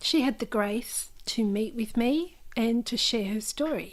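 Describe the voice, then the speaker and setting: A woman with an Australian accent speaks at a fairly high pitch. The recording is very clean, with a silent background. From Australia, New South Wales (Newcastle). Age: 50s. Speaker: memoir author. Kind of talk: interview.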